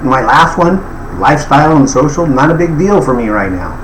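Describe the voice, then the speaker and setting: A man talks at a moderate pace with a fairly high pitch and lively intonation, his voice carrying audible room echo amid noticeable background noise. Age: 70s. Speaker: life coach. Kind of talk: tutorial. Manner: casual, filler-heavy.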